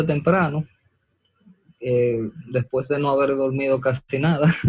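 Somewhat breathy medium-pitched male voice at a very slow pace, with fairly even intonation. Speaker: medical student. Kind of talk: interview.

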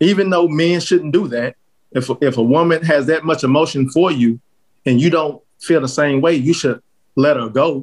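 A man with an American accent and an unremarkable speaking voice talks at a moderate pace. His pitch is fairly high, with ordinary variation. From Texas, Fort Worth. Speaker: podcast panel guest. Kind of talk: casual chat.

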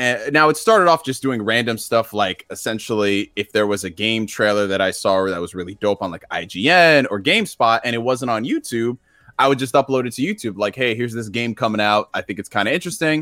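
At a very fast pace with hardly any pauses, a man speaks in an energetic, bright, sharp tone at medium pitch with ordinary pitch variation, on a very clean recording with a silent background and a dry, close sound with no echo. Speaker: gaming YouTuber. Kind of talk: casual chat. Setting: live stream.

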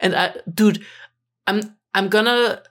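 This woman talks in a German accent with monotone, flat intonation. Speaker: podcast co-host. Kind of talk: casual chat.

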